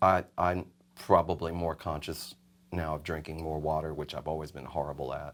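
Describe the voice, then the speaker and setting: A man's very deep, low voice at a moderate pace, monotone and flat, in a very clean recording with a silent background. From New York (Bronx), Puerto Rican family. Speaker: session singer and guitarist. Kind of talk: interview.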